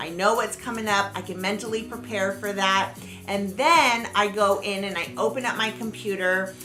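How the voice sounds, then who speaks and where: A woman of medium pitch speaks with audible room echo and music playing in the background. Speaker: planner and small business youtuber. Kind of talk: livestream casual chat. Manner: loud.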